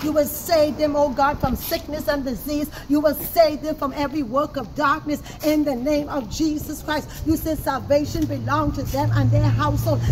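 A woman at a moderate pace with hardly any pauses, noticeable background noise around her. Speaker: prayer leader. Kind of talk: fervent intercessory prayer, spiritual warfare style. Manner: fervent, emphatic, pleading, rising in intensity as commanding declarations. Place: street. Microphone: camera far.

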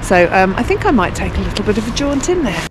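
A woman talks in a dry space with no echo. There is noticeable background noise. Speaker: travel vlogger. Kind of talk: walking tour commentary. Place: street. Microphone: phone near.

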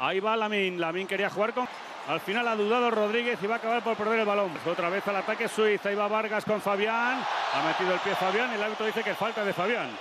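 Over noticeable background noise, a man talks very fast in a raised, projected voice, high-pitched and at very even loudness. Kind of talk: live sports commentary. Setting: stadium broadcast. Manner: fast, excitable, shouting goal calls; rapid-fire play-by-play, breathless.

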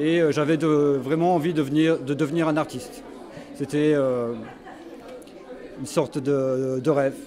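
Long pauses come often at a moderate pace, and the intonation stays fairly even. There is light background noise. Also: man. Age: 60s. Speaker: painter; interviewee. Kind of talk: interview. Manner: halting. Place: hall. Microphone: handheld.

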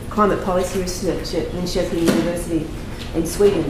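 A woman talks at a fairly quick pace. Room echo and noticeable background noise can be heard. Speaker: session chair and research consultant. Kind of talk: conference introduction and Q&A moderation. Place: meeting room.

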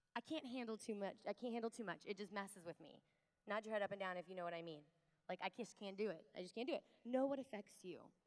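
Over a quiet background, a woman talks at a very fast pace with ordinary pitch variation. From US Midwest. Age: 30s. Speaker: conference speaker. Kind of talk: fervent prayer; keynote talk to a women's conference. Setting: conference stage with large audience. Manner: animated, warm, upbeat; earnest, pleading, tender in prayer. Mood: warm, playful, earnest. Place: hall. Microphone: handheld.

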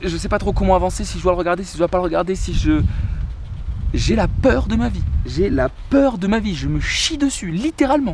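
Noticeable background noise runs through the clip. A man speaks at a fairly quick pace. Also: dry sound with no echo. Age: 20s. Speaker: travel vlogger. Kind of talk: casual storytelling vlog. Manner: halting, many repetitions and fillers. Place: garden. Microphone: phone near.

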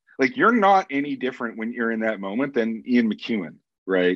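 A man's vocal fry with very wide pitch swings, a Canadian accent, and a moderate pace. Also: quiet background. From Canada. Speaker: author; guest. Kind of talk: interview. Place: home room. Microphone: webcam.

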